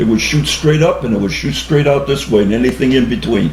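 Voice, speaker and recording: With noticeable background noise behind him, a man speaks at a moderate pace with an American accent. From Cheshire, Connecticut, USA. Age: 80s+. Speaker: war veteran. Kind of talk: interview answer.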